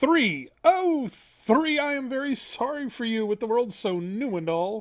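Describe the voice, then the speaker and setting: A put-on character voice moves along at a fairly slow pace. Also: woman, high pitch for a woman. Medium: read story.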